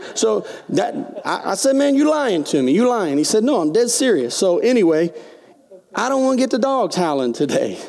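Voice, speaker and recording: An animated man with a high pitch speaks at a moderate pace, his pitch swinging very widely over noticeable background noise. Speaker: pastor. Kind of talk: sermon. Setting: church.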